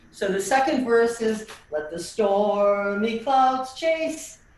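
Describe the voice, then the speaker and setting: Speaking very slowly with lively intonation, a woman with a fairly high pitch is heard over noticeable background noise and audible room echo. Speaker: tap dance teacher. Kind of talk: online dance class instruction. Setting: video call.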